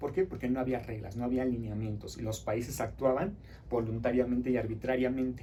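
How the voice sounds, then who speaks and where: A man's somewhat breathy voice has a dark, mellow tone and a medium pitch with ordinary variation. He talks at a fairly quick pace amid audible room echo. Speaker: teacher. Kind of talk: lecture. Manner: fast.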